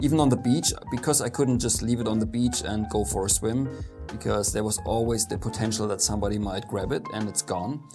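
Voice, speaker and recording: A man talks in a fairly low pitch over clear music in the background. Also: fairly quick pace. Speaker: photographer vlogger. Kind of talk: casual vlog chat. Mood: relaxed storytelling, some laughs. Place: studio.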